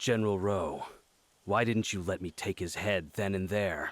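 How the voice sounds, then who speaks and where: Using a put-on, growling character voice, a man speaks at a moderate pace with a fairly low pitch and fairly even intonation on a very clean recording with a silent background. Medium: video game. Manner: sardonic.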